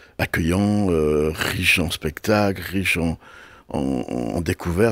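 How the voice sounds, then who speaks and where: On a very clean recording with a silent background, a man with a very deep, low pitch and vocal fry speaks with ordinary pitch variation. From Brittany, France (Brest area). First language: Breton (speaking French). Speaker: television and festival producer. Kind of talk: interview. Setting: radio studio. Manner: halting, many repetitions.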